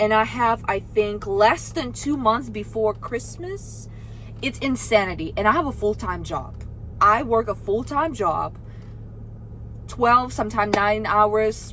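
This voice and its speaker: Through noticeable background noise, a woman speaks in an animated tone at a fairly slow pace. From Russia. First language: Russian. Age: 20s. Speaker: vlogger. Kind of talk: casual vlog talk to camera.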